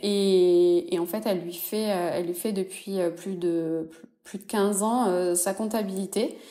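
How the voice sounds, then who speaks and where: A woman with a medium pitch and a dark, mellow tone speaks at a fairly slow pace. Her intonation stays fairly even while her loudness swings widely. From southwest France, Toulouse. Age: 30s. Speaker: entrepreneur. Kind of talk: interview. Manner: hesitant, many fillers.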